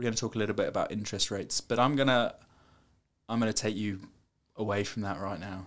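Talking at a very fast pace in an animated tone, this voice breaks with long, frequent pauses on a very clean recording with a silent background. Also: man, fairly low pitch for a man. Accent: British. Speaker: podcast co-host. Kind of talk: casual chat. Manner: joking, animated.

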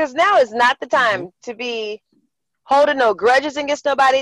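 A woman with an American accent talks at a fairly quick pace in a high pitch. The sound is dry and close, with no echo. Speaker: foster care worker. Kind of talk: casual chat. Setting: in a car. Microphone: sounds far away.

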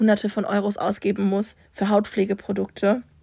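A woman speaks at a fairly slow pace with medium pitch, in a very clean recording with a silent background. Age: 20s. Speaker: student podcaster. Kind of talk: casual monologue.

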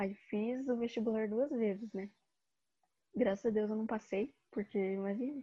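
A woman with a fairly high, somewhat breathy voice speaks at a fairly slow pace with fairly even intonation. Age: 20s. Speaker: design student. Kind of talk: casual chat.

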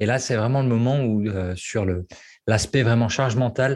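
Somewhat breathy and medium in pitch, a man speaks with fairly even intonation on a very clean recording with a silent background. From French provinces. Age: 30s. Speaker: copywriter and former love coach. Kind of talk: casual interview.

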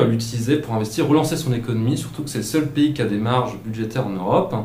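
Amid noticeable background noise, a man talks at a fairly quick pace and medium pitch with ordinary pitch variation. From Alsace, south of Mulhouse. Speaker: student economics columnist. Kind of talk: scripted radio column. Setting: studio.

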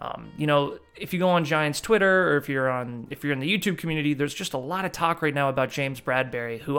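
On a very clean recording with a silent background, a man talks at a very fast pace. His pitch is fairly high, with ordinary variation. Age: 20s. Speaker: sports podcast host. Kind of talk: solo sports talk monologue. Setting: video recording.

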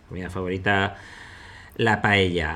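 The man's voice has a bright, sharp tone. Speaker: investor and podcast host. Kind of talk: casual chat.

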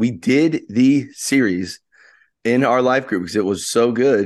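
An unremarkable speaking voice from a man, medium in pitch, with ordinary rises and falls. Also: quiet background. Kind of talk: casual chat.

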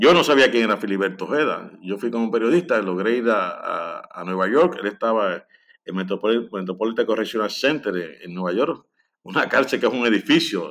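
This man has an unremarkable speaking voice, medium in pitch, with lively intonation. He talks at a fairly quick pace, and his loudness swings a lot. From Puerto Rico, Lares. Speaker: historian and author. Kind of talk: interview.

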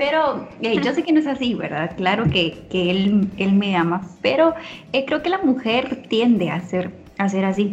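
Over noticeable background noise, a woman talks at a fairly slow pace in a medium pitch, her voice making very wide pitch swings. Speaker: podcast co-host. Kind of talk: casual chat.

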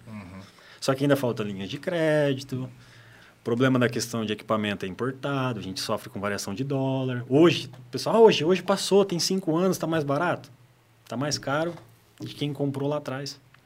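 Speaking in a normal speaking voice at medium pitch, a man moves at a fairly quick pace with lively intonation and big swings in loudness. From Paraná, Brazil (Apucarana). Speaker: solar energy entrepreneur. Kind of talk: podcast interview.

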